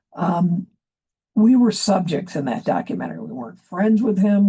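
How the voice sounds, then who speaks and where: A woman with an American accent speaks in a somewhat breathy, dark, mellow tone at a medium pitch and a moderate pace, with ordinary pitch variation. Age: 70s. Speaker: activist speaker, former newspaper editor. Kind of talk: public address. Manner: hesitant, many fillers.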